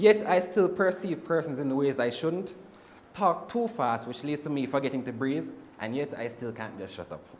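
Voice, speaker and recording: Over noticeable background noise, a man with a fairly high pitch talks at a fairly quick pace, his pitch swinging very widely. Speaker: university student. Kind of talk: class presentation. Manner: fast; runs out of breath.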